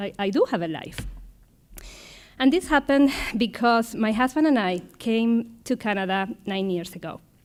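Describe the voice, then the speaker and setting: Fairly high in pitch, a woman with a slight Argentine accent talks at a moderate pace with lively intonation. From Argentina. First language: Spanish. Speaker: supply chain manager, panelist. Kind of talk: panel talk.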